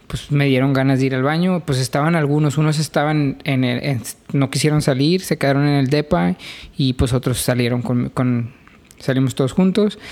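Fairly high in pitch, a man talks in a plain, everyday voice at a moderate pace. His pitch varies in an ordinary way, and his loudness stays very even. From Mexico, Reynosa. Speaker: podcast co-host. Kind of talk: casual chat.

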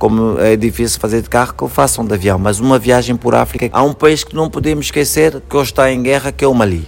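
Rapid-fire, nearly pause-free delivery with lively intonation and vocal fry. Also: man, medium pitch for a man. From Angola, Luanda. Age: 40s. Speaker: actor and theatre director. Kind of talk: interview.

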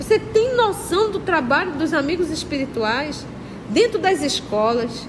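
A woman speaks at an extremely high pitch with very wide pitch swings, at a fairly slow pace. Audible room echo and noticeable background noise fill the recording. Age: 50s. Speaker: spiritist study leader. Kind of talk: religious study lecture. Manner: conversational, addresses audience directly.

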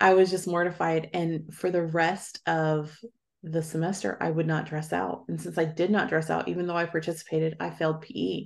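Against a quiet background, a woman with a fairly low pitch and ordinary pitch variation talks at a moderate pace in an unremarkable speaking voice. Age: 40s. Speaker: author and educator. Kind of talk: interview.

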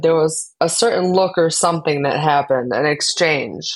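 A woman with an American accent has an unremarkable speaking voice and a fairly low pitch. She talks at a fairly quick pace on a very clean recording with a silent background. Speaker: podcast host. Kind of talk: casual chat.

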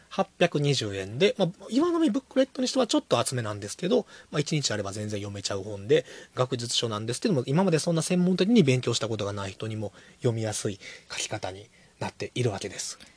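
A man with a medium-pitched, somewhat breathy voice talks very fast with very wide pitch swings and big swings in loudness, the sound dry and close with no echo against a quiet background. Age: 30s. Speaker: podcast host, bookshop owner. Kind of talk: casual chat.

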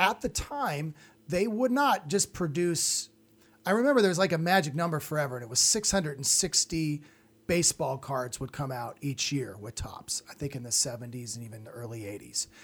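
Somewhat breathy, fairly high-pitched man at a moderate pace, with very wide pitch swings and big swings in loudness. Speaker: podcast host and comedian. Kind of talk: casual chat.

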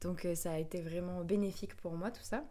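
Her voice dark and mellow, a woman speaks fairly slowly at a fairly low pitch with fairly even intonation. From France, Bordeaux. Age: 20s. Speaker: yoga teacher and singer. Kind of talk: casual chat.

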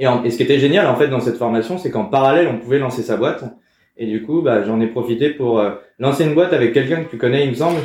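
Here a man speaks at a very fast pace. His pitch is medium, with ordinary variation. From France, Val d'Oise (Paris suburbs). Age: 30s. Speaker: startup program manager. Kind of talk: casual interview. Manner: halting, many repetitions and fillers.

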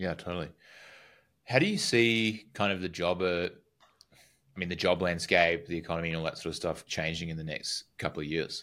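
A man with a very deep, low pitch and a bright, sharp tone talks at a fairly quick pace with fairly even intonation and long, frequent pauses, in a very clean recording with a silent background. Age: 30s. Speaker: podcast host. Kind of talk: casual interview.

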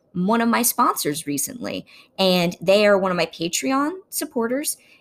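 A woman's fairly high-pitched voice in an American accent, a plain, everyday voice with lively intonation. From Ohio, US Midwest. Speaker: podcast host. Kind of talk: casual chat.

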